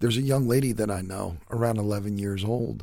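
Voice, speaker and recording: On a very clean recording with a silent background, a man talks at a fairly slow pace. His pitch is fairly low, with ordinary pitch variation. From US, son of Yugoslav immigrants. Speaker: podcast host. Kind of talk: solo commentary monologue.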